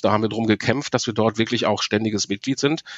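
Here a man talks in a normal speaking voice. His pitch is medium and varies in an ordinary way. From Ruhr area, Germany (Marl). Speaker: professional voice speaker and cycling activist, former reporter. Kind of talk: interview.

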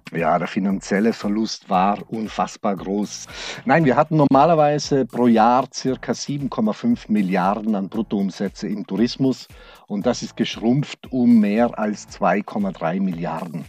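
A man speaks at a very slow pace, his pitch fairly low, with lively intonation. The recording is very clean, with a silent background. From South Tyrol (Brixen), Italy. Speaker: regional tourism executive. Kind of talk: interview. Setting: converted freight-elevator sound studio.

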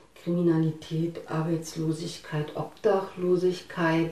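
At a very slow pace, a woman speaks in a fairly low, monotone voice with flat intonation, amid noticeable background noise and audible room echo. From East Germany, Harz region. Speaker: eyewitness interviewee, IT worker. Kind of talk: interview. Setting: at home.

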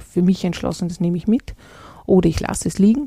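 A woman's dark, mellow, somewhat breathy voice. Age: 40s. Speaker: leadership consultant and podcast host. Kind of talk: solo podcast monologue.

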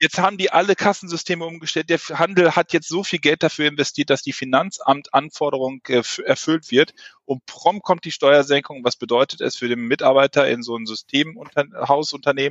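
A man's fairly high pitch shows ordinary pitch variation as he speaks at a moderate pace in a plain, everyday voice. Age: 30s. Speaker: ERP software consultant. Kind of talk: podcast interview.

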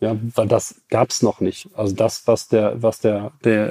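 A man speaks with a dark, mellow tone at fairly low pitch. His intonation stays fairly even. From Germany, Ruhr area (Bottrop). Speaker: car tuning company CEO. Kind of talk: interview. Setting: company premises.

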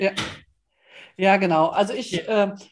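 Against a quiet background, an ordinary speaking voice moves at a moderate pace with fairly even intonation. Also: woman. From northern Germany (Osnabrück). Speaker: coach, podcast co-host. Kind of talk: casual chat.

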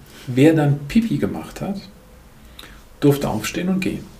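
A man with a medium pitch and lively intonation speaks at a fairly quick pace, with audible room echo and noticeable background noise. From Germany, Lahnstein near Koblenz. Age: 50s. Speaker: management consultant and couples therapist. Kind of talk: podcast interview.

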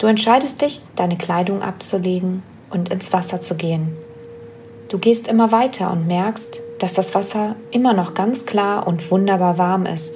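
A woman speaks at a medium pitch with a soothing, calm tone and ordinary pitch variation. Her pace is fairly slow, and there is noticeable background noise. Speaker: podcast host and wellness coach. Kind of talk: guided meditation. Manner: slow, soothing, calm; gentle, dreamy, soft-spoken.

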